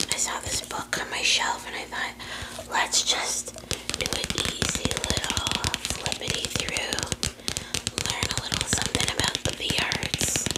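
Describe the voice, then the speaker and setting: The voice whispers at a fairly slow pace with long, frequent pauses. There is noticeable background noise. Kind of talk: ASMR talk. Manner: whispered; casual, rambling.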